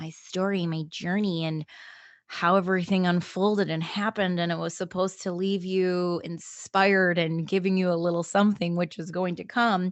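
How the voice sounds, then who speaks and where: In a monotone, flat intonation, a woman talks at a fairly low pitch. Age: 20s. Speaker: podcast host. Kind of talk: casual monologue.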